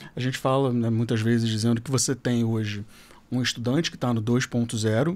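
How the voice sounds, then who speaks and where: A man's medium-pitched voice, fairly quick, with fairly even intonation and very even loudness. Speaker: educator and school director. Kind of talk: podcast panel discussion. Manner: fast.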